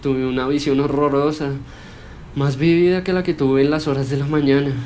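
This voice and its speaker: A man talks with fairly even intonation. Noticeable background noise runs throughout. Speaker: storyteller. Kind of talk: horror story narration.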